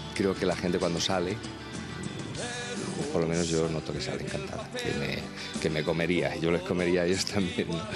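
A man's fairly quick speech, dry with no echo, with long, frequent pauses and clear music in the background. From Asturias, Spain. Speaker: singer-songwriter. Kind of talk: interview answer. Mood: warm, pleased. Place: hall. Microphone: handheld.

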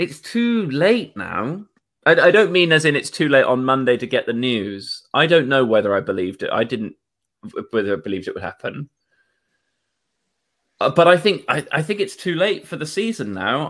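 Over a quiet background, a man speaks at a moderate pace, taking long, frequent pauses and swinging his pitch very widely. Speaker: guest. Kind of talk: casual discussion. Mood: wry, somewhat downbeat. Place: home room.

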